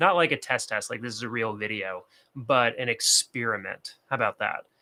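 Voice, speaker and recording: A man speaks at a moderate pace in a bright, sharp tone, with medium pitch and ordinary pitch variation. The sound is dry and close with no echo, on a very clean recording with a silent background. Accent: American. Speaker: productivity and bullet journal creator. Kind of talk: casual livestream talk to camera.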